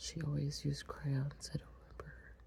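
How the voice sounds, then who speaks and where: A woman is whispering. She speaks only in a whisper. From Long Island, New York. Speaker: ASMR creator. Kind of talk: ASMR coloring video. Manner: whispered.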